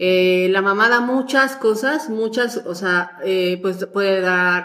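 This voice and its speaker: With an unremarkable speaking voice, a woman talks at a medium pitch with ordinary pitch variation. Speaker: mother of a podcast host. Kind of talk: casual chat.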